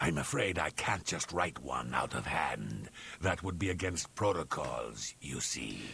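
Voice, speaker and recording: A man in a put-on character voice, very deep and low, with very wide pitch swings at a moderate pace over clear background noise. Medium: video game. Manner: formal, stiff.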